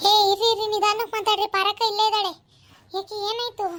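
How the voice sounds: A squeaky, cartoonish character voice from a woman, extremely high in pitch, with monotone, flat intonation and a moderate pace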